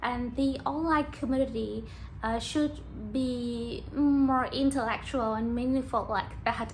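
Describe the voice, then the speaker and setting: A woman talks at a very slow pace, and audible room echo surrounds her voice. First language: Vietnamese. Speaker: YouTuber practicing English. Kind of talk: casual monologue to camera. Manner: halting, with fillers.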